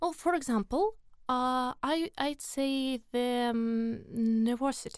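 A woman speaks very slowly with a Russian accent, her high pitch carrying ordinary variation and her loudness staying very even. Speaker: volunteer. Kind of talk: interview.

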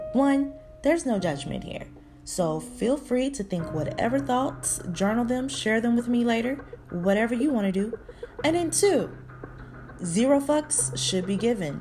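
A woman speaks at a fairly high pitch and a fairly slow pace, with very wide pitch swings. Noticeable background noise can be heard. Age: 30s. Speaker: podcast host. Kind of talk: casual monologue.

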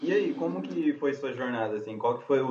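At a fairly quick pace, a man talks in an unremarkable speaking voice, his pitch varying in an ordinary way. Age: 20s. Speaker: podcast host. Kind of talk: casual chat. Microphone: phone recording.

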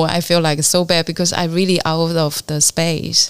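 A woman speaks in a Chinese accent with a fairly low pitch. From China, Fujian (Fuding). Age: 50s. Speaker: artist and art educator. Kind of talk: interview conversation. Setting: artist's studio.

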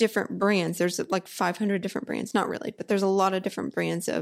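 This is a woman speaking. She has a Texan accent. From Texas, Houston area. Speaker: physical therapist. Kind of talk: casual interview chat.

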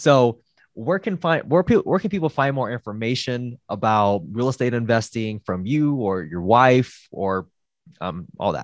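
A man with a plain, everyday voice speaks at medium pitch and a moderate pace, his intonation lively and the sound dry and close with no echo. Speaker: podcast host. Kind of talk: casual interview.

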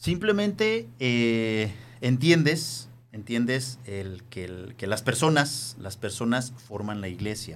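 Over music in the background and with audible room echo, the speaker talks at a very slow pace with ordinary pitch variation. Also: man, medium pitch for a man, big swings in loudness. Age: 50s. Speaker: teacher, former seminarian. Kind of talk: casual chat.

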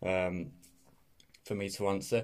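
A man's very deep, low voice in a Teesside accent. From northeast England, Middlesbrough. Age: 20s. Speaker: podcast host. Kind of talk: casual solo podcast talk. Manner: hesitant, many fillers.

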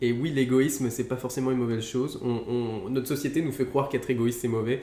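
Amid audible room echo, a man talks at a fairly quick pace in a medium-pitched voice that is monotone, with flat intonation. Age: 20s. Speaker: YouTuber friend. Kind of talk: casual chat.

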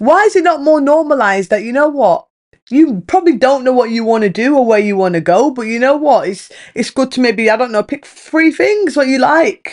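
A British-accented woman, high-pitched and animated in tone, with very wide pitch swings at a fairly quick pace. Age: 20s. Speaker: podcast host. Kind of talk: casual monologue.

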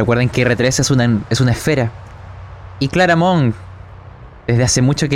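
The pitch of this man's voice is medium. He keeps a moderate pace. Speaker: game master narrating a tabletop sci-fi horror role-playing game. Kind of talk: noir narration, scene-setting storytelling in a tabletop RPG. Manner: dramatic, atmospheric, measured narration with evocative detail.

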